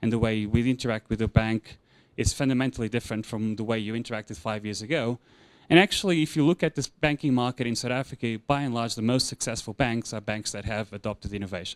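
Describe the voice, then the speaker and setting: A man at a fairly quick pace, dry and close with no echo, on a very clean recording with a silent background. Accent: Portuguese. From Portugal. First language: Portuguese. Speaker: insurance consultant. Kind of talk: conference presentation. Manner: hesitant with fillers and repetitions.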